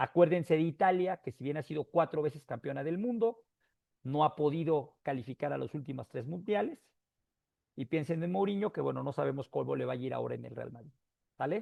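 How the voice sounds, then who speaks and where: Lively in intonation and fairly quick, a man with an unremarkable speaking voice talks at fairly high pitch, with big swings in loudness. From Mexico. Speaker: motivational speaker. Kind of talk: talk to an audience.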